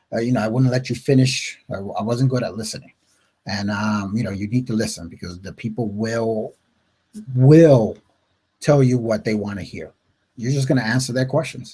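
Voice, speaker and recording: A man's somewhat breathy voice with a dark, mellow tone and an American accent. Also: medium pitch for a man, ordinary pitch variation. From upstate New York. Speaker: network marketing coach. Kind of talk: live webinar talk. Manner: fast; casual, filler-heavy.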